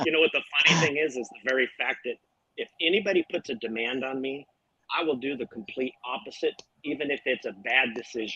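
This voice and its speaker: The recording has a dry, close sound with no echo, carrying a man's bright, sharp tone at a fairly high pitch. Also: ordinary pitch variation, fairly quick pace. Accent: American. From US South. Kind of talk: casual chat.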